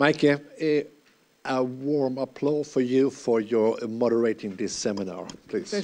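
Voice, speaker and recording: Fairly slow speech from a man at a medium pitch, with ordinary pitch variation. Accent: Finnish. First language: Finnish. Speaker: university representative. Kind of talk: closing thanks.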